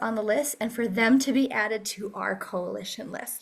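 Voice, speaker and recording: Pitch moves in an ordinary way as a woman talks. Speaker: advocacy task force leader. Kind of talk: meeting presentation. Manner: fast.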